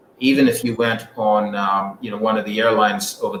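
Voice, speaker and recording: A man speaks at a moderate pace in a fairly low pitch, his intonation monotone and flat, with noticeable background noise. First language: not English. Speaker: airline executive. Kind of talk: radio interview. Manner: halting, many fillers.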